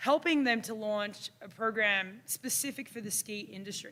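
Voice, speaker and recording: With an Australian accent, a woman speaks at a moderate pace and fairly high pitch, using ordinary pitch variation in a bright, sharp tone. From Australia, Melbourne. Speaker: university instructor. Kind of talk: conference presentation.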